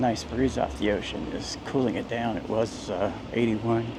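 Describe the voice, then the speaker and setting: A man with an American accent speaks at a moderate pace in a medium pitch with ordinary pitch variation. Noticeable background noise and audible room echo are present. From US Midwest, central Indiana. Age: 60s. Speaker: travel vlogger, retired veteran. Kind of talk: walking tour vlog narration. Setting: outdoors, walking on city streets. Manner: casual, chatty.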